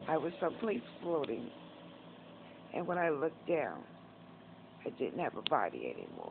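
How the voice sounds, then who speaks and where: A woman with a New York accent and a fairly low pitch talks at a moderate pace with ordinary pitch variation and long, frequent pauses. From Northeast Bronx, New York. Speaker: vlogger. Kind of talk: casual talk to camera, personal story. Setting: hospital / rehab.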